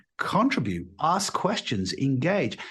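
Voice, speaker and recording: A man's somewhat breathy, fairly high voice with very wide pitch swings, at a fairly slow pace. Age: 60s. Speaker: leadership coach and author. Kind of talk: interview. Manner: halting with many repetitions.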